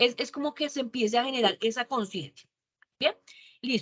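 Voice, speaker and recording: A woman talks at a fairly quick pace in a bright, sharp tone. Her pitch is high with ordinary variation, and the sound is dry and close with no echo. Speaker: university lecturer. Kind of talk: online class lecture. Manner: fast; animated.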